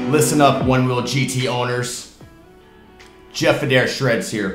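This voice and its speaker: A man talks with audible room echo. Faint music plays in the background. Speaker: product reviewer. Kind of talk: tutorial. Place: home room.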